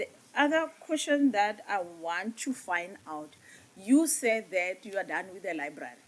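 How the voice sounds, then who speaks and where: At a moderate pace, a woman is speaking. Her pitch swings very widely. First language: Setswana or Sesotho. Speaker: parliamentary committee member. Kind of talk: parliamentary committee questioning.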